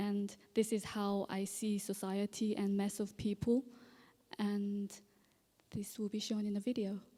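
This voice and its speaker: A woman with a medium pitch and a dark, mellow tone speaks somewhat breathily at a fairly slow pace. Her intonation is monotone and flat, with long, frequent pauses. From South Korea, Seoul. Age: 30s. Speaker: visual artist. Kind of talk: artist talk. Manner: hesitant, many fillers.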